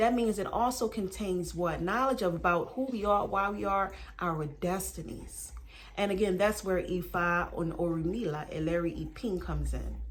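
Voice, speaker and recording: The speaker has an American accent, and there is audible room echo. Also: woman, moderate pace. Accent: Southern and Baltimore twang. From Baltimore, US. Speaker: spiritual teacher. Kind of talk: spiritual teaching monologue.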